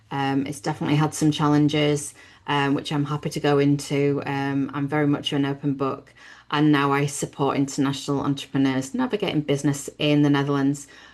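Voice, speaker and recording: A woman's very deep, low voice in a British accent, monotone and flat, at a fairly quick pace over a quiet background. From Britain. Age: 50s. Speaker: business networking host. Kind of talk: webinar presentation.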